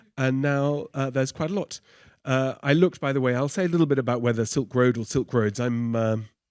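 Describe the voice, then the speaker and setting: In a very clean recording with a silent background, a man of medium pitch talks at a fairly quick pace with ordinary pitch variation. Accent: Oxford. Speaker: professor. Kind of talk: lecture. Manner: unscripted, conversational.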